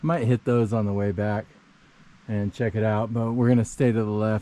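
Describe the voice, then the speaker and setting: Fairly low in pitch, a man's voice carries a dark, mellow tone and fairly even intonation. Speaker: hiking vlogger. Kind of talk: casual vlog narration while hiking. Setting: outdoors on a mountain trail.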